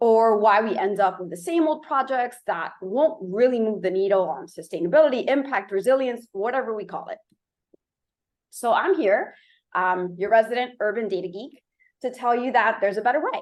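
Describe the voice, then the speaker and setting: A woman's fairly high voice with lively intonation, a moderate pace and a slight Miami accent. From Miami, Florida. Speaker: urban data researcher and company founder. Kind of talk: conference presentation.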